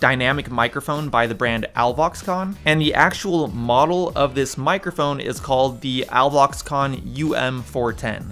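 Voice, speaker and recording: This man's bright, sharp voice moves at a moderate pace with ordinary pitch variation. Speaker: microphone reviewer. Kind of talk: product review vlog. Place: studio.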